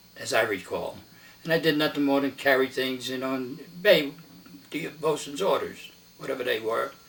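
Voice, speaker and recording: Over noticeable background noise, a man talks at a moderate pace with a fairly high pitch, ordinary pitch variation, and long, frequent pauses. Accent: American. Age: 90s. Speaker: war veteran. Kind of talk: oral history interview. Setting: at home.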